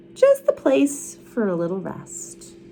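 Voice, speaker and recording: A female-sounding put-on character voice at a middle pitch and a fairly slow pace, with clear background noise. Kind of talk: bedtime story. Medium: read story.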